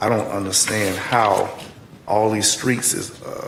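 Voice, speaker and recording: Against noticeable background noise and audible room echo, a man speaks with a fairly low pitch. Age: 70s. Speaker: county commissioner. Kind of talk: public meeting debate.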